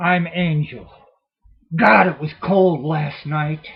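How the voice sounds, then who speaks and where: A man's put-on character voice, fairly high-pitched, raised and projected, at a very slow pace. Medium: read story. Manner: blunt, tough.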